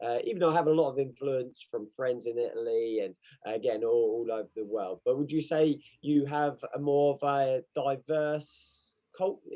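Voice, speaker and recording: A man's medium-pitched voice with an English accent, dark and mellow in tone, at a fairly slow pace. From England. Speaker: podcast co-host and martial arts coach. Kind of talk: casual chat.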